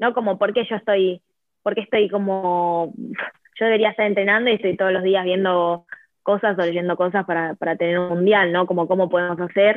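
Speaking fairly quickly with an Argentine accent, a woman keeps a medium pitch and fairly even intonation. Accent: Argentine Spanish (Rioplatense). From Argentina. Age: 20s. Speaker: futsal player. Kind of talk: interview. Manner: halting, many repetitions.

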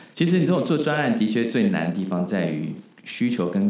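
A fairly low male voice with very wide pitch swings, amid noticeable background noise and audible room echo. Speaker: podcast host. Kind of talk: interview.

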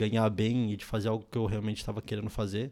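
A man talks at a very fast pace and medium pitch in a very clean recording with a silent background. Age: 20s. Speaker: software developer and startup founder. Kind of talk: casual chat.

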